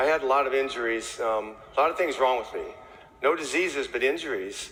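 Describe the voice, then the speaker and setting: Someone with an American accent speaks at a fairly quick pace, with audible room echo. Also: man. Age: 60s. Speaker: chimney sweep. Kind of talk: testimony. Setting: stage with audience. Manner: casual.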